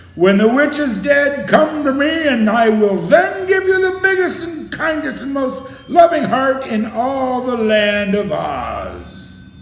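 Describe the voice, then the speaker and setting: A man's bellowing put-on character voice, extremely high in pitch, at a fairly slow pace with a slight echo. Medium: read story. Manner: stern, imposing.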